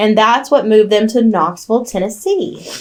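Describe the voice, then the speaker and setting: A woman speaks with a Southern US accent. Her pitch is fairly high and her pace fairly quick. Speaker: true crime podcast co-host. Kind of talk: casual storytelling chat.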